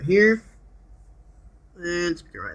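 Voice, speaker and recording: A man with a non-native accent speaks in a high pitch at a moderate pace. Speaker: seller reviewing his laptop. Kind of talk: casual product demo. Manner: hesitant, many fillers.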